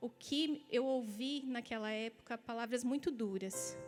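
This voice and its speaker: With music in the background, a high-pitched woman talks at a fairly slow pace in a southern Brazilian accent. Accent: gaúcho. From Rio Grande do Sul, southern Brazil. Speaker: pastor. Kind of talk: sermon; testimony.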